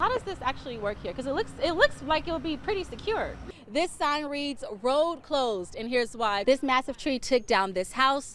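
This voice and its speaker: A woman's high voice with very wide pitch swings, at a moderate pace with hardly any pauses, over noticeable background noise. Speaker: television news reporter. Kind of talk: TV news field reporting. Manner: clear, professional, on-location delivery.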